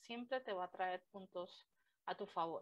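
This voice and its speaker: A woman speaks at a very slow pace. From Colombia. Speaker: language teacher. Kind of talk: interview.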